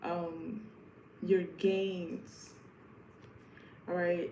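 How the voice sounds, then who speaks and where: With an American accent, a woman with a fairly low pitch speaks in a monotone, flat intonation, with audible room echo and noticeable background noise. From New York. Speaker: tarot reader. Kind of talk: live stream tarot reading. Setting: live stream at home. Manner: casual, repetitive.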